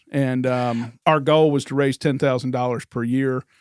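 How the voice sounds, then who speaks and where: An unremarkable speaking voice belongs to a man with an American accent and fairly even intonation. He keeps a moderate pace on a very clean recording with a silent background. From Northern Virginia, US. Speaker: real estate agent. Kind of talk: casual interview.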